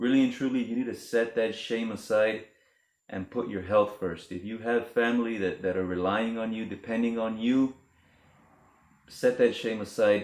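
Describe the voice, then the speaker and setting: A man speaks at a moderate pace in an ordinary speaking voice, his pitch fairly low and his intonation fairly even. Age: 30s. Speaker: vlogger. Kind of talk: casual vlog monologue. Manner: casual, conversational.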